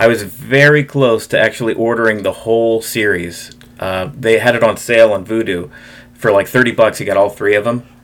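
In an ordinary speaking voice, the words come fairly quickly, with pitch shifting by normal amounts. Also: man, medium pitch for a man. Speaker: podcast co-host. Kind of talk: casual chat.

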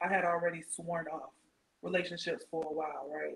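Quiet and monotone, a woman speaks with flat intonation. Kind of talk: casual chat. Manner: quiet, trying to speak up.

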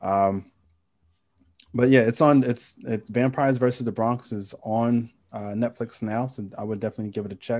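With an American accent, a man talks at a moderate pace and medium pitch, his intonation fairly even, in an ordinary speaking voice. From New York City (Queens). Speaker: podcast co-host. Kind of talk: casual chat.

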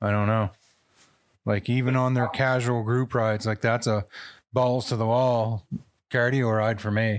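A man with an animated tone, very even loudness and a moderate pace, pausing long and often, in a very clean recording with a silent background. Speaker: podcast host. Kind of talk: casual banter. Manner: animated, joking.

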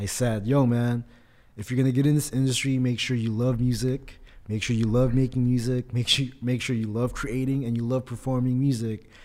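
A man with a Californian accent talks fairly quickly at a medium pitch, his intonation monotone and flat. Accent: Californian American. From Philippines, raised in California. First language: Tagalog. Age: 30s. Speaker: rapper and artist. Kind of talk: casual interview chat. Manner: relaxed, casual, conversational.

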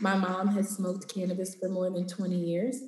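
A woman with an American accent talks at a moderate pace in a medium pitch, with noticeable background noise. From Los Angeles, US West Coast. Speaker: cannabis entrepreneur and educator. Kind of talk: interview conversation.

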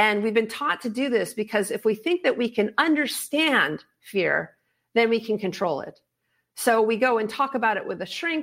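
Against a very clean, silent background, a woman with a fairly high pitch speaks at a moderate pace with lively intonation in a plain, everyday voice. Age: 50s. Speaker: fear expert and author, former pro extreme skier. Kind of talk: interview.

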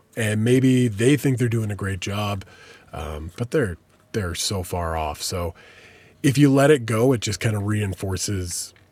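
A man with an unremarkable speaking voice talks at a fairly slow pace and a fairly low pitch, recorded very cleanly against a silent background. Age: 30s. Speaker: podcast host and radio DJ. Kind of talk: casual interview chat.

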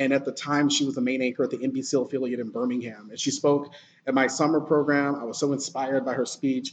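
A man with an American accent talks at a very fast pace in a medium pitch, his intonation monotone and flat. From Alabama, US South. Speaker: TV news anchor. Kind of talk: casual interview.

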